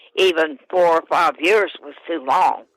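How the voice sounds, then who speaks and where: A woman with an American accent speaks at a fairly slow pace in a fairly low pitch, her bright, sharp tone showing ordinary pitch variation on a very clean recording with a silent background. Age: 80s+. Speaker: daughter of a missing person. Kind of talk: interview. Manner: halting.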